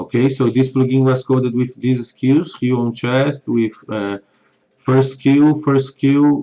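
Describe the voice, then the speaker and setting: A man with a non-native accent speaks at a very slow pace, medium in pitch and with monotone, flat intonation. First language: not English. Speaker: software developer. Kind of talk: tutorial.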